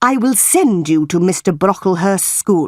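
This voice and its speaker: A put-on character voice at a moderate pace, on a very clean recording with a silent background. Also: woman. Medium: read story. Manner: cold, stern.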